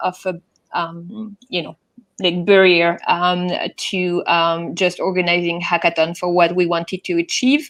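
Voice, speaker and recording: A woman with a French accent at a fairly slow pace. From France. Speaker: event organizer. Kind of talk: conference talk. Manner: halting, many fillers.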